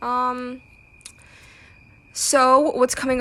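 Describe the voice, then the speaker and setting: In an American accent, a woman speaks with a high pitch. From United States. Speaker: podcast host. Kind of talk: casual solo podcast talk. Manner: casual, many fillers and restarts.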